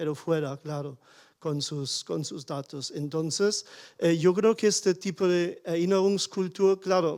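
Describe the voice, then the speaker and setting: Speaking with a German accent, a man uses a high pitch and ordinary pitch variation. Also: very clean recording, silent background. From Germany, small village. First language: German (speaking Spanish). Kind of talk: panel discussion contribution. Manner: halting.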